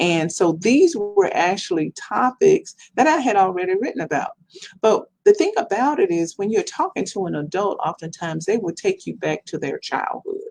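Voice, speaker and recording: Here a woman speaks with a Mississippi accent. Her pace is moderate. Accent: Southern US, Mississippi. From Mississippi, US South. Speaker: professor and children's book author. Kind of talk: podcast interview.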